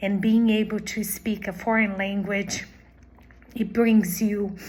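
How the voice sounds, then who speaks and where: A woman with a Portuguese accent speaks in a somewhat breathy voice. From Brazil. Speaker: language teacher. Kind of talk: job application video.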